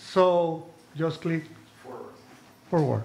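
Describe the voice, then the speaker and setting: Speaking with a Spanish accent, a man uses a fairly high pitch. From Nicaragua. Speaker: political cartoonist. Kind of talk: presentation to an audience. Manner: reading from notes.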